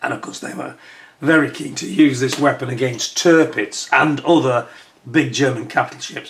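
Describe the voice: A put-on character voice, croaky and raspy, moves at a moderate pace with ordinary pitch variation. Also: man.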